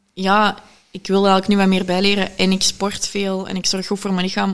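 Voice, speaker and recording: At a fairly quick pace, a woman talks in a monotone, flat intonation. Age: 20s. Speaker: entrepreneur. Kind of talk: casual interview. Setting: living room.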